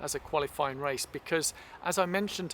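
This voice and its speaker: With an English accent, this man speaks in a fairly high pitch and a bright, sharp tone. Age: 60s. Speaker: masters runner vlogger. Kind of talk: casual vlog chat.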